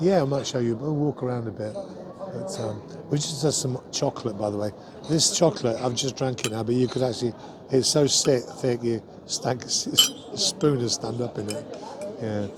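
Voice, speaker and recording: A man with a medium-pitched voice talks at a moderate pace with lively intonation over noticeable background noise. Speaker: singer vlogger. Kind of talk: casual vlog chat. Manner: halting, hesitant.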